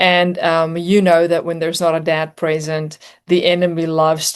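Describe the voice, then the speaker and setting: Against a quiet background, a woman with a South African accent talks at a moderate pace in a fairly low voice. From South Africa, near Johannesburg. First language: Afrikaans. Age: 40s. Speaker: singer and motivational speaker. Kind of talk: interview testimony.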